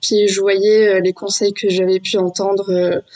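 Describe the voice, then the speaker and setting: A woman's medium-pitched voice, flat and monotone in its intonation. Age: 20s. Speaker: stay-at-home mother sharing birth story. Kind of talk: testimony. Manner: halting, many hesitations.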